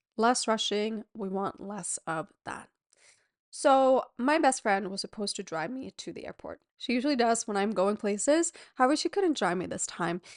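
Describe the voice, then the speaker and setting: A woman's fairly high-pitched, animated voice with lively intonation and big swings in loudness, dry and close with no echo, against a quiet background. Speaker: podcast host and pelvic floor yoga teacher. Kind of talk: solo podcast talk. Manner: fast.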